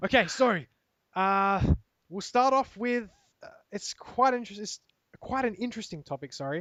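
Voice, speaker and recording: With an Australian accent, a man speaks at a moderate pace with very wide pitch swings and long, frequent pauses. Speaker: gaming podcast host. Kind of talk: casual chat. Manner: halting.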